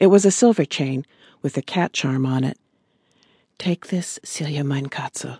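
Her pitch very deep and low, a woman speaks in a dark, mellow tone that is somewhat breathy. Her pitch variation is ordinary. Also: dry, close sound with no echo. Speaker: audiobook narrator. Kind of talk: dramatic audiobook narration of a tense wartime scene. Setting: studio. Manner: suspenseful, hushed build-up with rising urgency.

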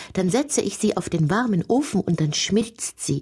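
At a moderate pace, a woman speaks at a fairly low pitch with lively intonation. Her tone is gentle, dark and mellow, and somewhat breathy. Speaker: audiobook narrator. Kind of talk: audiobook fairy-tale narration, read aloud with dramatic storytelling. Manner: gentle, wondering, storyteller's rhythm.

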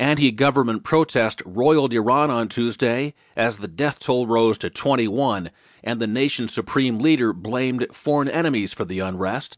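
The man has an unremarkable speaking voice, medium in pitch with ordinary pitch variation. He talks at a moderate pace with hardly any pauses, and the sound is dry and close with no echo. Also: quiet background. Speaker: audiobook narrator. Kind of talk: news audiobook reading, scripted newspaper digest. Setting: studio. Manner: formal, steady, even newsreader delivery; clear, measured pace, neutral tone.

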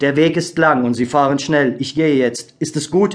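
A man at a fairly high pitch and a fairly slow pace, with fairly even intonation and noticeable background noise. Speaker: audiobook narrator. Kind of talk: scripted audiobook narration, solemn and dramatic. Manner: slow, hushed, gravely expressive; measured, melancholic, with pauses for suspense.

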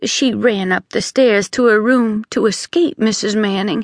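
The reading here is done in an unforced voice.

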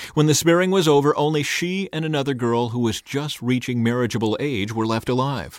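The speaker goes at a fairly quick pace with hardly any pauses. It is an ordinary speaking voice with ordinary pitch variation. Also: man, medium pitch for a man. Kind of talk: audiobook narration, first-person memoir read aloud. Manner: measured, even-paced, storytelling delivery.

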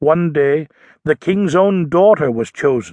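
Speaking very slowly in a dramatic tone, a man with a high pitch and ordinary pitch variation comes through in a dry, close sound with no echo. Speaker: audiobook narrator. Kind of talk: scripted audiobook narration of a children's nonfiction book. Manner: dramatic storytelling, building tension and suspense.

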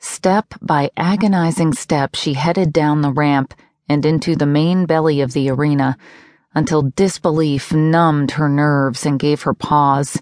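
A woman with a very deep, low pitch speaks at a fairly slow pace with fairly even intonation. The sound is dry and close with no echo, over a quiet background. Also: very even loudness. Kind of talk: audiobook narration of a contemporary romance novel.

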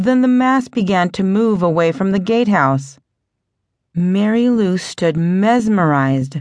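A woman at a medium pitch, dramatic and animated, with very wide pitch swings at a fairly slow pace against a quiet background. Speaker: audiobook narrator. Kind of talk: ghost story narration, audiobook reading aloud. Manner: suspenseful, hushed tension building, dramatic pacing; animated, voicing characters with distinct tones.

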